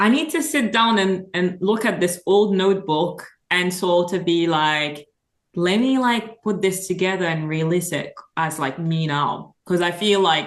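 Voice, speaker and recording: A woman speaks with a French accent. Her pace is fairly slow and her pitch varies in an ordinary way. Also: medium pitch for a woman. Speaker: singer-songwriter. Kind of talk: casual chat.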